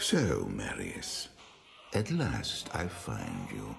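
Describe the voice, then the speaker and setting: Clear background noise sits behind the voice. It is a put-on character voice at a very slow pace. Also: man. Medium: video game. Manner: calm, authoritative.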